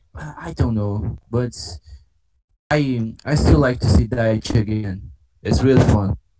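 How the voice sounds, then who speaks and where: With a Portuguese accent, a man speaks fairly slowly at a fairly low pitch, with lively intonation, big swings in loudness and long, frequent pauses. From Brazil. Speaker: podcast panelist. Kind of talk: casual chat. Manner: halting, repetitive.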